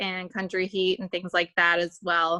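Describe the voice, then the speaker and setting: A woman with an American accent speaks at a medium pitch in a bright, sharp tone. The recording is very clean and dry, close-sounding with no echo and a silent background. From Virginia (Lexington). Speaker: new fitness coach. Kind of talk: casual chat.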